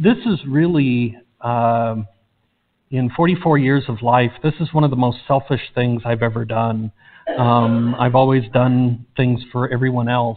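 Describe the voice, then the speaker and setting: A man speaks at a fairly slow pace. His intonation stays fairly even. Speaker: pastor. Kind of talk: announcement to the congregation. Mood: emotional, hesitant. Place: church.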